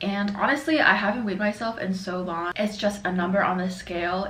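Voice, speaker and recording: A woman's medium-pitched voice at a fairly quick pace with ordinary pitch variation, amid noticeable background noise and audible room echo. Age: 20s. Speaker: lifestyle vlogger. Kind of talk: casual chat. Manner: casual while eating.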